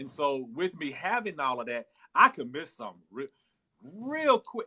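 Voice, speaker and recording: A man's raised, projected voice in an American accent, fairly slow, with very wide pitch swings and big swings in loudness, in a dry, close sound with no echo. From Texas, Dallas. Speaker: live-stream host. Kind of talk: casual chat. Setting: livestream on TikTok.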